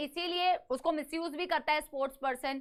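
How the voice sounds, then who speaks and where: Raising and projecting her voice, a woman speaks at a fairly slow pace in an energetic, bright, sharp tone. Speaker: online biology teacher. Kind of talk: online lecture.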